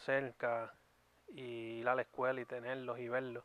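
A man talks at a moderate pace. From Puerto Rico. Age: 30s. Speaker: YouTube podcast co-host. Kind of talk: casual chat.

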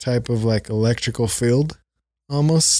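A man's medium-pitched voice, with fairly even intonation, comes through on a very clean recording with a silent background. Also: dry, close sound with no echo. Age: 30s. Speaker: podcast guest. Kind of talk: casual chat.

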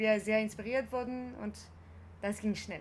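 A woman speaks at a moderate pace with fairly even intonation. Her voice is somewhat breathy and fairly high in pitch. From France. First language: French (speaking German). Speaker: actress and performer. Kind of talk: interview. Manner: halting, many hesitations.

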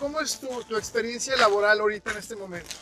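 A man's raised, projected voice at a very fast pace, with ordinary pitch variation and noticeable background noise. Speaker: podcast host. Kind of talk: casual interview. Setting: outdoors, walking in snow. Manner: loud.

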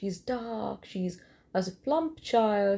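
Her voice is dark and mellow, somewhat breathy, with lively intonation. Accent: Indian. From eastern India. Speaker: first-time podcaster. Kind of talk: solo monologue rant. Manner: hesitant, many fillers.

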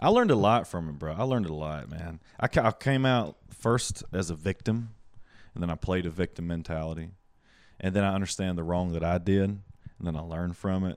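Here a man with a Southern US accent speaks at a fairly quick pace, his pitch very deep and low with ordinary variation. The recording is very clean, with a silent background. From US South Carolina. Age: 20s. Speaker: stand-up comedian and yoga instructor. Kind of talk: casual chat, comedic interview. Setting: host's apartment, home studio. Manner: animated, profane.

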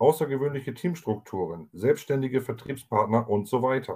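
In a very clean recording with a silent background, a man with a dark, mellow tone speaks at a moderate pace and medium pitch, his intonation lively. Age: 30s. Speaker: podcast co-host, network marketer. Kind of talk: sales pitch.

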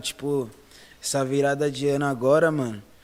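At a moderate pace, a man speaks with a plain, everyday voice pitched fairly high. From São Paulo, Zona Norte (Brasilândia). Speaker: funk MC. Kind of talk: casual chat.

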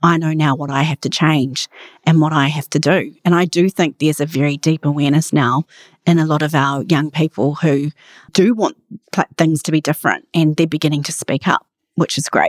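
Dry and close with no echo, a woman in a New Zealand accent speaks at a fairly quick pace, her very deep, low pitch held in fairly even intonation. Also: very clean recording, silent background. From Australia (outback), then New Zealand from age 11. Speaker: charity chief executive. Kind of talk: interview.

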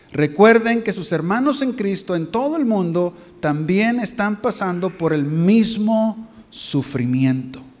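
Very wide pitch swings from a man at a high pitch and a very slow pace, with audible room echo. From Mexico. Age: 50s. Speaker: visiting pastor. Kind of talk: sermon. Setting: church.

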